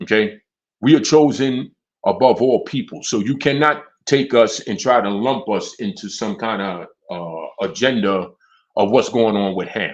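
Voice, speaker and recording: In a quiet background, a man with a medium pitch speaks at a moderate pace with lively intonation. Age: 50s. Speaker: religious teacher. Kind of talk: religious teaching. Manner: halting.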